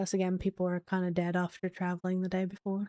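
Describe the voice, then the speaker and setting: Soft-spoken and at medium pitch, a woman has a dark, mellow tone in a dry, close recording with no echo. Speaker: streamer. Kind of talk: casual chat. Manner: halting.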